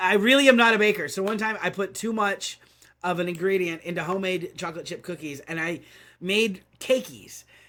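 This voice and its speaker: On a very clean recording with a silent background, a man talks at a fairly quick pace. His raised, projected voice is high-pitched and bright and sharp in tone, with ordinary pitch variation. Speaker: video game community manager. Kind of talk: casual chat. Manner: halting, many fillers and repeats.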